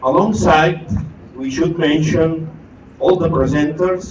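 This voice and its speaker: Audible room echo surrounds a man speaking at a fairly high pitch and a fairly slow pace. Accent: Catalan. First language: Catalan. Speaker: education network leader. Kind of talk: ceremony speech.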